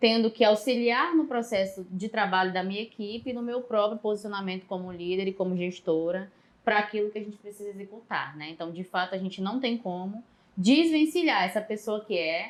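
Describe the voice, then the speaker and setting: This woman has a northeastern Brazilian accent and a medium pitch. She talks at a fairly quick pace with ordinary pitch variation. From Northeast Brazil, Maranhão. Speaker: psychologist and public manager. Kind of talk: podcast interview.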